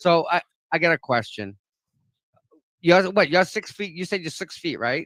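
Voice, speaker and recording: This man has a Boston accent and a high pitch, with ordinary pitch variation and an animated tone. He moves at a moderate pace with long, frequent pauses, and the sound is dry and close with no echo. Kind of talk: casual chat.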